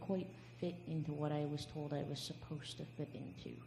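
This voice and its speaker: A woman talks at a fairly quick pace with a very deep, low pitch. Noticeable background noise and audible room echo fill the recording. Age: 20s. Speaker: panelist. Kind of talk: testimony.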